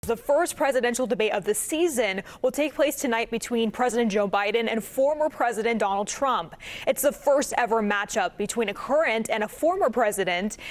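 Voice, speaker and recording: Fairly high in pitch, a woman with a plain, everyday voice speaks at a fairly quick pace with lively intonation, very even loudness and hardly any pauses. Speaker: TV news anchor. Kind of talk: TV news anchoring.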